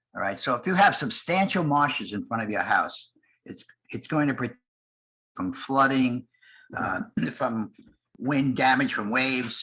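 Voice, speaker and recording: Long, frequent pauses break up a man's lively intonation, his pitch medium and his tone bright and sharp. The background is quiet. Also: moderate pace. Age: 80s+. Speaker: conference panelist, bay naturalist. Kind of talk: conference presentation. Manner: halting.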